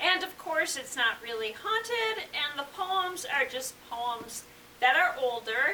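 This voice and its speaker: A woman speaks very slowly in a high, raised, projected voice with a bright, sharp tone. Her pitch swings very widely. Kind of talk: casual talk to camera.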